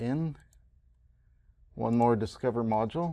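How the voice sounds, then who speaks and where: A man's medium-pitched voice, dark and mellow in tone, with ordinary pitch variation, a moderate pace and a quiet background. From Canada. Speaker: college instructor. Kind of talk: tutorial. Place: classroom.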